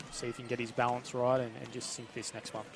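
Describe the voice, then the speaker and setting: A man with a medium-pitched voice and an Australian accent, at a moderate pace, with audible room echo and noticeable background noise. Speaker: basketball commentator. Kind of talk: live commentary. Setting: basketball stadium.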